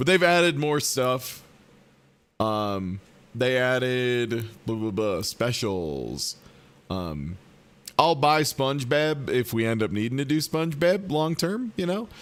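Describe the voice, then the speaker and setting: A medium-pitched man at a very slow pace, with very wide pitch swings and long, frequent pauses. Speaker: gaming streamer. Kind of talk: casual live stream chat. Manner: casual, many filler ums.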